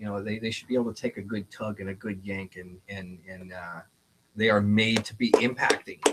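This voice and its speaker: The man talks fairly quickly at a fairly low pitch. His intonation is monotone and flat. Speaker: leather goods maker and auctioneer. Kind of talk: casual product demonstration in a talk show.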